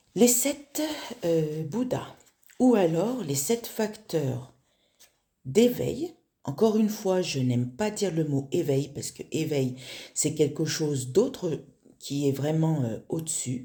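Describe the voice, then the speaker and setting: Speaking at a very slow pace with long, frequent pauses, a woman uses a very deep, low pitch with very wide pitch swings, her voice somewhat breathy with a dark, mellow tone. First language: not French (speaking French). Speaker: spiritual teacher. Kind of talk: spiritual talk. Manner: halting, many fillers.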